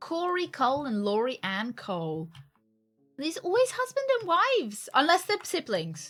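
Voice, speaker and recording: Over background music, a woman with an American accent speaks at a moderate pace in a high voice that swings very widely in pitch. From UK. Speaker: game streamer. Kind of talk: live gameplay commentary. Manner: casual, chatty.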